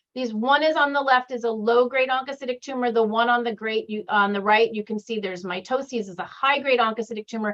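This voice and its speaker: At a fairly quick pace, a woman speaks with a high pitch and ordinary pitch variation. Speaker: pathologist. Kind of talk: lecture.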